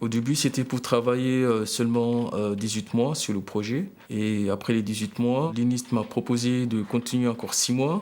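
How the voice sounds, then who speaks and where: Speaking at a fairly slow pace with hardly any pauses, a man keeps a medium pitch and fairly even intonation. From Mayotte. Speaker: language technology engineer. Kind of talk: interview testimony. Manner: halting, many fillers and repetitions.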